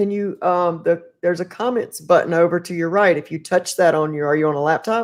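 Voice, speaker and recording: In a North Carolina accent, a woman speaks at a fairly quick pace with hardly any pauses, a fairly low pitch and ordinary pitch variation, on a very clean recording with a silent background. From US South, North Carolina. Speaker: podcast host. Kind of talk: casual interview chat. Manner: animated.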